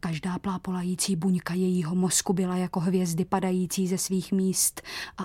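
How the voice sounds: A natural reading voice comes through here.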